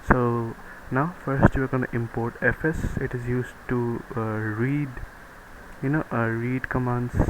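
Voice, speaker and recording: With a non-native accent, a man speaks at a medium pitch and fairly slow pace in monotone, flat intonation over noticeable background noise. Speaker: programming tutorial maker. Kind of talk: screen-recorded coding tutorial. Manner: casual, hesitant with fillers.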